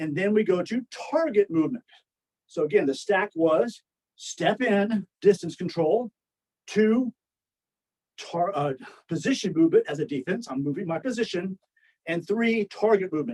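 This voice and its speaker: A high-voiced man at a moderate pace, with lively intonation, long and frequent pauses, and a dry, close sound with no echo. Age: 60s. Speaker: martial arts instructor. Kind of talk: lecture. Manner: conversational.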